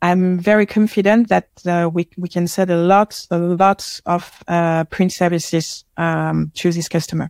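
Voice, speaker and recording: A woman with a French accent talks at a fairly slow pace, barely pausing, in a monotone, flat intonation. The recording is very clean, with a silent background. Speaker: marketing head at a tech company. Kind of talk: casual interview chat. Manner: hesitant, halting, many fillers.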